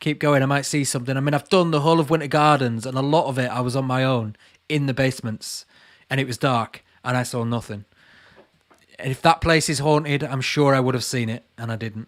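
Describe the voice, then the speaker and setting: On a very clean recording with a silent background, a man with a Lancashire accent speaks very fast at a medium pitch with fairly even intonation. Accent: Burnley. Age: 30s. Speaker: YouTuber and urban explorer. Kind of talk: live Q&A chat reading viewer comments. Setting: livestream from home.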